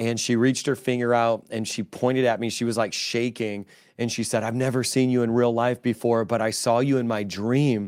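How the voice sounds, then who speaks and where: Monotone and flat, a man talks at a fairly quick pace. He leaves hardly any pauses. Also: medium pitch for a man. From Chicago, US Midwest. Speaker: pastor. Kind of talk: interview testimony.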